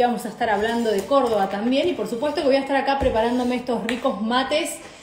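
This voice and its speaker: A woman with a high pitch is heard with audible room echo and light background noise. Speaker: live show host. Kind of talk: casual live stream chat. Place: kitchen. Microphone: phone near.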